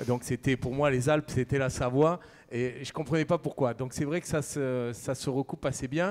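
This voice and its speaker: A man speaks in a Camargue accent at a fairly quick pace. His voice is fairly high, with ordinary pitch variation. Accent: southern French (Camargue). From southern France, Camargue. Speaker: chef. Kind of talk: conference talk.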